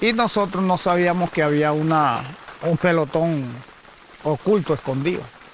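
Noticeable background noise sits under speech of very even loudness. The pace is fairly slow, broken by long, frequent pauses. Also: man, high pitch for a man, ordinary pitch variation. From Colombian Caribbean, Magdalena. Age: 50s. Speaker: former guerrilla fighter. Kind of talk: testimony.

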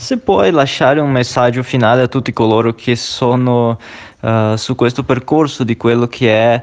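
Medium pitch defines this man's voice. It varies in an ordinary way. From outside Italy. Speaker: radio show host. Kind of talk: interview. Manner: hesitant, with fillers.

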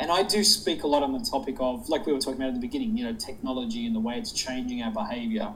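A man with an Australian accent talks at a very fast pace, at medium pitch, with hardly any pauses. His intonation is lively, and background noise is noticeable. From Sydney, Australia. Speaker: public speaker. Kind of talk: casual interview chat.

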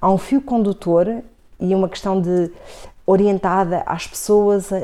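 Intonation stays monotone and flat throughout. The tone is dark and mellow. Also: woman. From Portugal, grew up in Coimbra (born Vila Real). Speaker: marketing professor and city councillor. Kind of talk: radio interview.

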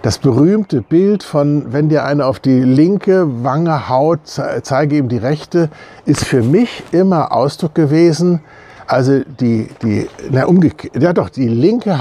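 Very slow, lively-toned speech from a man, fairly high in pitch. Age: 60s. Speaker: church member. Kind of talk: video statement. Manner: hesitant with many fillers.

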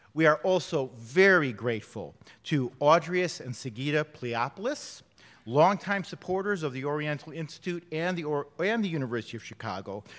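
Speaking at a moderate pace, a man has a fairly high pitch. His is an ordinary speaking voice. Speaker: event host. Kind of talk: formal welcome speech. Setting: stage with audience.

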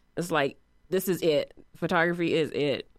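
The speaker has an American accent and keeps a moderate pace. The intonation is monotone and flat. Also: woman. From Northwest Indiana, East Chicago. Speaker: photographer. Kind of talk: interview.

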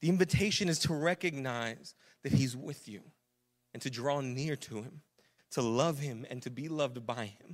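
At a moderate pace and a fairly high pitch, a man with an unremarkable speaking voice shows ordinary pitch variation and big swings in loudness. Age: 30s. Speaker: pastor. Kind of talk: sermon. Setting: church. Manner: casual, conversational.

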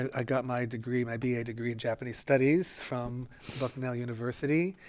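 This man has an ordinary speaking voice, medium in pitch, with an American accent. He talks at a fairly quick pace with fairly even intonation over a very clean recording and a silent background. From northeast Pennsylvania. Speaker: retired dance professor and choreographer. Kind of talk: interview.

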